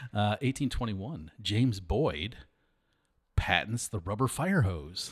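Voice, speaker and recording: A man with an American accent, somewhat breathy, fairly low in pitch, very slow in pace and lively in intonation. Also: very clean recording, silent background. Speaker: historical society director and podcast host. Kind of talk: casual chat.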